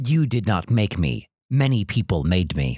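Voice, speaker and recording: A man puts on a growling character voice at a fairly low pitch. He moves at a moderate pace, with very wide pitch swings. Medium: actual play. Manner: blunt, literal.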